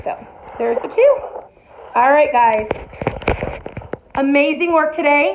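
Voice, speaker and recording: A woman with a high pitch speaks in an animated tone. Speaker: elementary art teacher. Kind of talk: tutorial.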